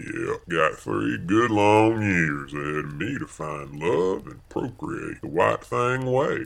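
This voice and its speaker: Here a man speaks with a rural Southern US accent. His pace is very slow. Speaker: comedic audio-drama character.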